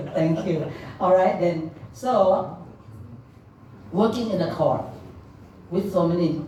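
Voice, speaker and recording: A woman with a Thai accent speaks at a very slow pace with ordinary pitch variation, with audible room echo and noticeable background noise. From Thailand. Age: middle-aged. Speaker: legal interpreter and helpline founder. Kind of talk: speech. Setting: stage with audience. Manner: loud.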